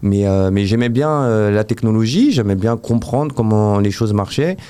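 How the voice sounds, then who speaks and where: Here a man talks at a moderate pace with a medium pitch and ordinary pitch variation. His tone is dark and mellow, his loudness very even. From Paris region, France. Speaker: app developer. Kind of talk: interview. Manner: hesitant, many fillers.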